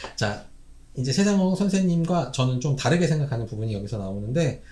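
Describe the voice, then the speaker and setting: A man's fairly high, somewhat breathy voice makes very wide pitch swings amid audible room echo. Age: 40s. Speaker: Korean medicine doctor, YouTuber. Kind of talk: solo commentary monologue. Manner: casual, with frequent fillers and self-corrections.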